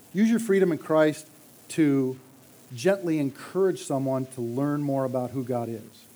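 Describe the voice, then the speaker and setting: A man with a normal speaking voice, fairly high pitch, lively intonation, and a moderate pace. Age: 50s. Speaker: church elder. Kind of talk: sermon.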